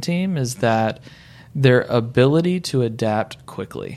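A man speaks with an unremarkable speaking voice. His pace is fairly slow. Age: 30s. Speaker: real estate broker and team leader. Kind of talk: casual interview. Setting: studio.

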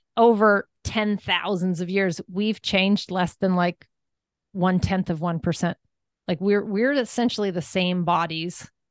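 At a fairly slow pace, a woman with an American accent uses an ordinary speaking voice, medium in pitch with fairly even intonation, recorded dry and close with no echo against a quiet background. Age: 50s. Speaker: wellness coach and entrepreneur. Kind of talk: interview.

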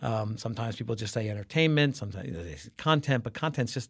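In an American accent, a somewhat breathy voice rushes along at a very fast pace with lively intonation. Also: man, very clean recording, silent background. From Brooklyn, New York. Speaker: advertising creative executive. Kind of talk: interview.

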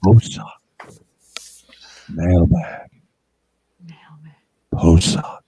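This is a put-on character voice, low in pitch and breathy. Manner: drawn out, sing-song announcing.

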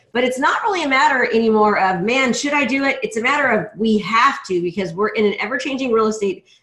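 Talking very fast with hardly any pauses, a woman uses a high pitch and lively intonation. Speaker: podcast host. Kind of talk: casual interview. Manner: fast talker, high energy.

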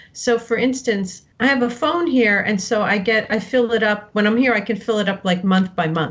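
With an American accent, a woman talks at a fairly high pitch and a moderate pace. Her intonation is lively, and there is noticeable background noise. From New Jersey, US. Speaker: novelist. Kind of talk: interview.

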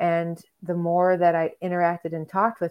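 Speaking at a moderate pace, a woman with a Western New York accent talks in a fairly low pitch for a woman, her intonation flat and monotone. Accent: Western New York American. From US Northeast (Rochester, New York). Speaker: ecotherapist. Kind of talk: interview. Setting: video call.

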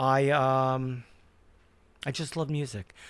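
A man talks with a New York accent. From Brooklyn, New York. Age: 60s. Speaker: music industry veteran. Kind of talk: casual interview storytelling.

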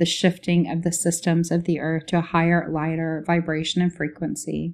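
The recording is very clean, with a silent background. A woman speaks at a fairly low pitch and moderate pace in a monotone, flat intonation. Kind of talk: guided meditation.

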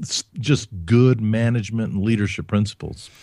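A man with an American accent and an ordinary speaking voice, fairly even intonation and a fairly slow pace on a very clean recording with a silent background. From US South, Alabama (Huntsville), German-speaking home. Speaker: leadership author and speaker. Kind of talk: interview.

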